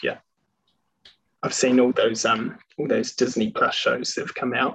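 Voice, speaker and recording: Speaking in a New Zealand accent, a man goes at a fairly slow pace with long, frequent pauses. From New Zealand, Queenstown. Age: 20s. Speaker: airline pilot. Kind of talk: casual chat.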